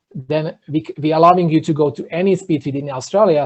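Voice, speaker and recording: A man with an Eastern European accent, fairly high in pitch, with fairly even intonation. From Slovakia. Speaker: entrepreneur. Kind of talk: podcast interview.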